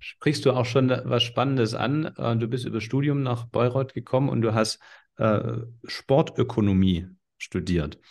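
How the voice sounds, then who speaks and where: A man with a medium pitch, ordinary pitch variation and vocal fry talks at a fairly slow pace. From Swabia, southern Germany. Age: 40s. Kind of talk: casual interview.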